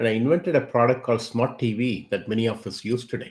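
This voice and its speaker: A man speaks in a somewhat breathy voice. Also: very clean recording, silent background. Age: 60s. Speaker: tech company CEO. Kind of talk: interview.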